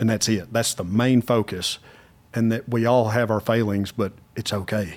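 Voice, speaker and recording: In an American accent, a man with an unremarkable speaking voice talks at a moderate pace, with medium pitch and fairly even intonation. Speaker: podcast host. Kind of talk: casual interview conversation.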